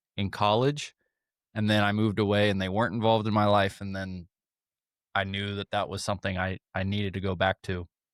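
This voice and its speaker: This very clean recording with a silent background has a dry, close sound with no echo, as a man with a plain, everyday voice and an American accent speaks at a moderate pace in a fairly low pitch. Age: 30s. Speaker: podcast host and horse trainer. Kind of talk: casual interview.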